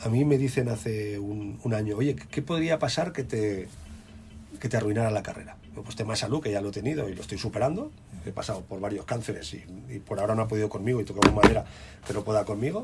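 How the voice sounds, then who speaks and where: A man talks at a very fast pace in a fairly low pitch, his voice somewhat breathy and his pitch varying in an ordinary way. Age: 40s. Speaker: DJ and radio music director. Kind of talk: interview.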